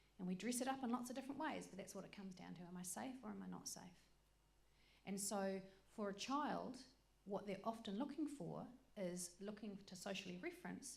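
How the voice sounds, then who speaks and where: An animated woman at a medium pitch, fairly quick yet with long, frequent pauses, ordinary pitch variation, vocal fry and audible room echo. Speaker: workshop presenter. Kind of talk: lecture. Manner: fast.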